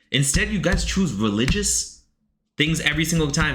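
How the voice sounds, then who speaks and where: A man speaks in a fairly high pitch with vocal fry and a bright, sharp tone. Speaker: streamer reading chat submissions. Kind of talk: live stream reaction. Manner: fast; animated.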